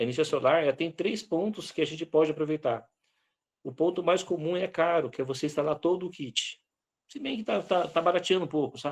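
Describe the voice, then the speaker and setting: This man's voice sits high in pitch. His delivery is fairly quick. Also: ordinary pitch variation. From Brazil, Vale do Ribeira (São Paulo). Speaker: lecturer on rural self-sufficiency. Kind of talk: online lecture Q&A.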